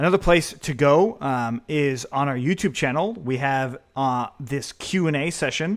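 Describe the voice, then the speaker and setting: A man with an unremarkable speaking voice, fairly high in pitch and fairly slow, with ordinary pitch variation, in a very clean recording with a silent background. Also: hardly any pauses. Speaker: programming instructor. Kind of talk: tutorial.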